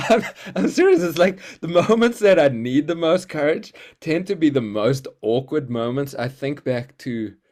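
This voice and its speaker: A man talks at a moderate pace in a South African accent, his pitch fairly high with very wide swings. The recording is very clean, with a silent background. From South Africa, Cape Town. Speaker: healer and creativity coach. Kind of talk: casual interview. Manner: halting, many fillers.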